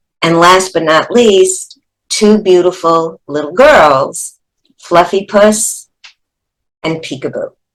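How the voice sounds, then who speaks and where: Speaking very slowly with long, frequent pauses, a woman with a New York accent keeps a medium pitch with ordinary variation. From New York City. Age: 70s. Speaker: actress and teacher. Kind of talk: life story testimony.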